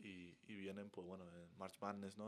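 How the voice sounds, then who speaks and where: Monotone, flat intonation marks speech that moves at a moderate pace. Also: man. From southern Spain, Málaga. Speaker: college basketball player. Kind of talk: podcast interview. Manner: hesitant, many fillers.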